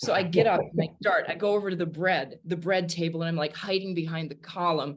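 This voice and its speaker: A woman's fairly low, animated voice in a northern US accent, fairly quick with hardly any pauses, over noticeable background noise. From US Midwest, Wisconsin. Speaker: jazz singer and pianist. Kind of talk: casual interview storytelling.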